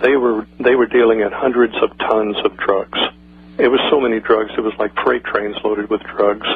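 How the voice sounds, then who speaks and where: A man speaks at a medium pitch in a flat monotone over noticeable background noise. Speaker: former intelligence agency associate. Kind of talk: radio interview. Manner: fast.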